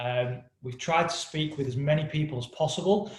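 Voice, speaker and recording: A man with an English accent, at a moderate pace with ordinary pitch variation. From England. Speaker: company co-founder. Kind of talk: webinar presentation. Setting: live webinar.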